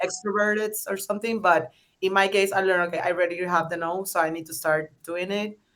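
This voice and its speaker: A woman talks very fast with a strong Spanish accent. Her pitch is medium and her intonation fairly even. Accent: thick Spanish. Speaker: startup founder. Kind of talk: panel discussion. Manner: hesitant, many fillers.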